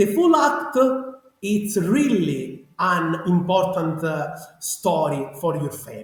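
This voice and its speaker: With a strong Sicilian accent, the speaker uses lively intonation at a fairly slow pace, and the room echo is audible. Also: man. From Sicily, Italy. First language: Italian. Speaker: genealogy researcher. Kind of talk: interview. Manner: animated; halting.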